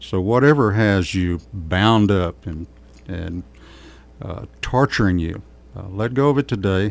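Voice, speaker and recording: Long, frequent pauses break up the speech at a fairly slow pace. The loudness swings widely. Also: man, fairly low pitch for a man, ordinary pitch variation. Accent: Texas. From Texas, Kerrville. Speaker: pastor, former sheriff's sergeant. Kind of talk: radio interview.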